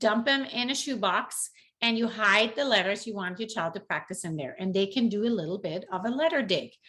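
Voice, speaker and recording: Against a quiet background, a woman with a non-native accent speaks at a moderate pace in a fairly high pitch, her tone bright and sharp. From outside the US. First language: not English. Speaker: parenting tips vlogger. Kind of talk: tutorial. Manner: casual, conversational.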